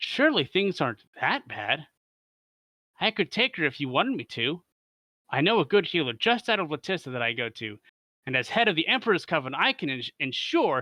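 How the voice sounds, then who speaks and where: Against a quiet background, a man does a put-on character voice with fairly high pitch, very wide pitch swings and a fairly quick pace. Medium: read story. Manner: prim, formal.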